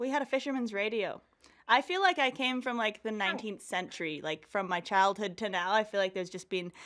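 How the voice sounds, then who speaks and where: With a Canadian accent, a woman speaks fairly quickly in a fairly high voice with lively intonation. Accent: sounds Canadian. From rural New Zealand, later Canada. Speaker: professional mountain biker. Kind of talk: podcast interview. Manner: casual, laid-back.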